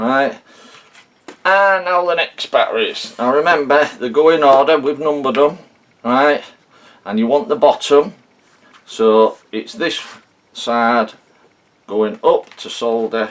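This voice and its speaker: With lively intonation and a fairly high pitch, a man talks at a fairly slow pace, pausing long and often. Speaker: hobbyist video maker. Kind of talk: tutorial. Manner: slow, deliberate.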